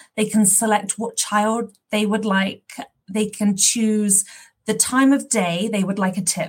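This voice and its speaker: A woman's somewhat breathy, medium-pitched voice at a fairly slow pace, with fairly even intonation. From London, England. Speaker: parent program partner manager, former teacher. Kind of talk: interview, explaining an app.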